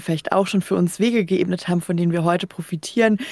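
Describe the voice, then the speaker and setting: A woman at medium pitch speaks with fairly even intonation in a plain, everyday voice. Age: 30s. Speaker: podcast host. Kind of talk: radio interview.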